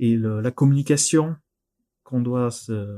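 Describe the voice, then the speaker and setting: In a very clean recording with a silent background, a man with a slight southern French accent speaks at medium pitch in a dark, mellow tone with ordinary pitch variation. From southern France, near Narbonne. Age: 30s. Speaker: board game industry employee. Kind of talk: interview.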